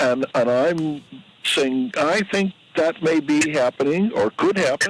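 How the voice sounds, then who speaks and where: A man talks at a very slow pace with a fairly high pitch and very wide pitch swings. The sound is dry and close with no echo, and there is noticeable background noise. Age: 80s+. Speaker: caller. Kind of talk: casual chat. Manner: halting.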